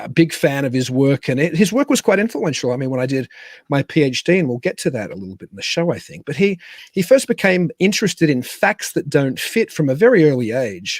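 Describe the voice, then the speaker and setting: With an Australian accent, a man talks at a fairly quick pace and fairly high pitch, using very wide pitch swings and big swings in loudness. The sound is dry and close, with no echo. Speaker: podcast host. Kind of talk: guest introduction; casual chat. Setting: home studio in a cabin.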